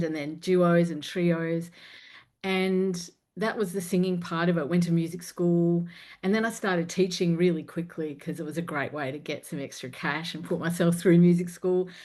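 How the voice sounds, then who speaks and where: Over a quiet background, a woman speaks at a moderate pace in a fairly low, dark, mellow voice with monotone, flat intonation. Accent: Australian. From Australia. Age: 50s. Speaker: confidence coach and singer. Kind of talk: interview podcast conversation.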